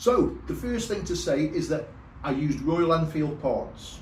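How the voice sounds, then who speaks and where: There is audible room echo. The voice belongs to a man. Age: 60s. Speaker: motorcycle vlogger. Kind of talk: casual vlog tutorial. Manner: hesitant, repeats words.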